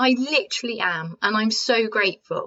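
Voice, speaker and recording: In a British accent, a woman speaks at a moderate pace with a fairly high pitch. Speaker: podcast host and coach. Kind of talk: self-help podcast talk. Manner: soft-spoken, calm.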